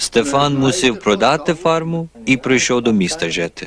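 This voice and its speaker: At a fairly slow pace, a man talks while noticeable background noise plays underneath. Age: old. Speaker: corner store owner. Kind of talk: documentary narration.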